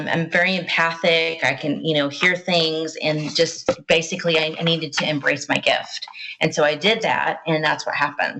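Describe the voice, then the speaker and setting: A woman's put-on character voice in a Southern US accent, very deep and low in pitch, raspy and drawling, at a moderate pace over light background noise. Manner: natural Southern drawl.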